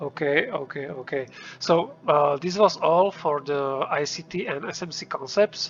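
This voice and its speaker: With music in the background, a man with a non-native accent speaks at a fairly high pitch, using ordinary pitch variation. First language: not English. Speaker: trading indicator developer. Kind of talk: tutorial. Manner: hesitant, many fillers.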